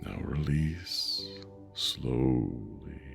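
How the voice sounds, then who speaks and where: Over music in the background, a man speaks at a very deep, low pitch. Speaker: meditation guide. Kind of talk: sleep meditation. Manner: slow, soft-spoken.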